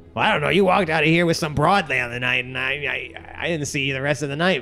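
Over light background noise, a man puts on a character voice at a fairly high pitch and a very fast pace. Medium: actual play. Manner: gruff, casual.

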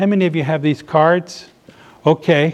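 This man, with an American accent, has a fairly high-pitched voice and talks at a moderate pace. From US South, Norfolk, Virginia. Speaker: pastor. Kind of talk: sermon. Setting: live audience at a seniors ministry.

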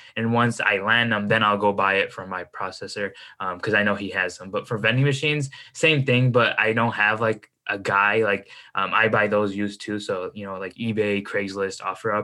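Bright and sharp in tone, this voice with a Chicago accent moves at a fairly quick pace with fairly even intonation on a very clean recording with a silent background. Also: man, fairly low pitch for a man. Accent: Chicago American. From US Midwest, Chicago suburbs. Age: 20s. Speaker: entrepreneur and finance content creator. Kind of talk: casual interview chat.

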